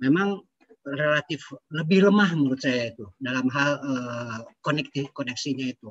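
A man speaks at a moderate pace with a fairly high pitch and ordinary pitch variation. His voice is somewhat breathy and swings widely in loudness. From Bandung, West Java, Indonesia; West Java, Indonesia. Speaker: aeronautics entrepreneur; audience member. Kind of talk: discussion remarks. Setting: video call. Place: home room. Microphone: video call.

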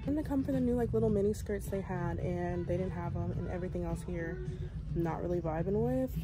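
Someone with an American accent speaks at a very fast pace while music plays clearly in the background. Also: woman. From Texas. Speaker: vlogger. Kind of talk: casual vlog talk to camera. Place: shop. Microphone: phone near.

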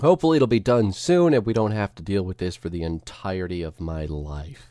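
Speaking at a fairly quick pace, a man makes very wide pitch swings in a dry, close sound with no echo. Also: very clean recording, silent background. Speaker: gaming video creator. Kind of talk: tutorial. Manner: casual.

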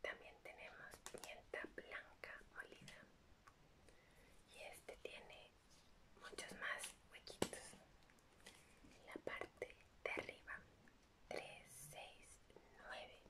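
A soft-spoken woman whispers at a very slow pace, leaving long, frequent pauses. Loud background noise fills the recording. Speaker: ASMR creator. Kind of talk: soft ASMR show-and-tell. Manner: soft ASMR whisper. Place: home room.

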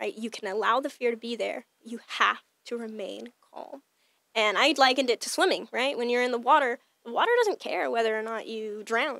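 Against a quiet background, a woman talks at a moderate pace with ordinary pitch variation and big swings in loudness, the sound dry with no echo. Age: 20s. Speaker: fitness trainer and baker, entrepreneur; fitness trainer. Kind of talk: casual interview chat; interview answer. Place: studio. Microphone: studio mic.

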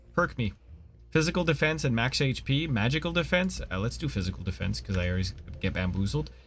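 A man with a fairly low pitch and vocal fry speaks at a fairly quick pace, his pitch swinging very widely. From Canada. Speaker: gaming streamer. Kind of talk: casual co-op gameplay chat. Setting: live stream. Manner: animated.

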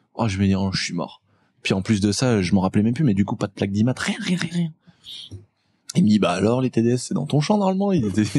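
A man's somewhat breathy, dark, mellow voice with very wide pitch swings, at a fairly quick pace broken by long, frequent pauses, against a quiet background with a dry sound and no echo. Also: medium pitch for a man. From rural France. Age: 20s. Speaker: automotive YouTuber. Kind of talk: casual chat. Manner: animated. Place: studio. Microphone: studio mic.

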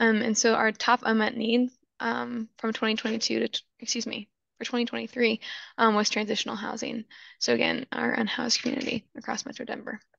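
In a put-on character voice, a woman speaks at a fairly high pitch, raspy and monotone with flat intonation. Her pace is moderate, broken by long, frequent pauses. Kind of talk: formal, presentation. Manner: talking fast, rushing through.

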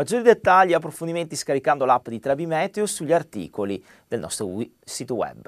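A man speaks at a fairly quick pace in a fairly high pitch with vocal fry. His pitch swings very widely over a quiet background. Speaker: weather presenter. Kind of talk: weather report. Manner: formal, brisk newsreader delivery. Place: studio. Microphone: lapel.

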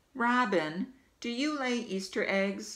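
A female-sounding voice puts on a character voice at a fairly high pitch. The pace is fairly slow. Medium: read story. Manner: earnest, polite.

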